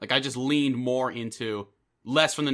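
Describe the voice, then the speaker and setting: Speaking at a fairly quick pace with a New York accent, a man uses a bright, sharp tone at medium pitch on a very clean recording with a silent background. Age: 20s. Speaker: podcast host and audio drama creator. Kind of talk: casual chat.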